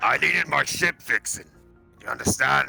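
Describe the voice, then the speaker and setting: Doing a raspy put-on character voice, a man speaks at a moderate pace. Faint music plays in the background. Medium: actual play.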